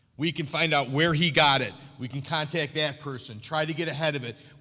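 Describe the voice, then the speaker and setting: A loud man talks at a fairly quick pace, his fairly high pitch paired with a bright, sharp tone. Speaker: school resource officer. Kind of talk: public forum Q&A. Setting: school auditorium with audience.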